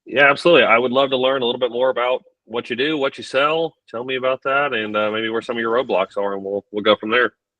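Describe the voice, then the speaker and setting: Talking at a very fast pace with hardly any pauses, a man with a Texan accent keeps a medium pitch and fairly even intonation. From Texas. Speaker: business coach. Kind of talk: live coaching Q&A call.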